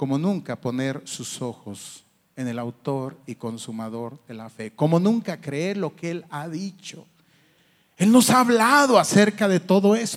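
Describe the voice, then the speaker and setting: This speech goes along fairly slowly. Its pitch rises and falls over a very wide range. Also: man, fairly high pitch for a man, big swings in loudness. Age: 50s. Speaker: pastor. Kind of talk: sermon.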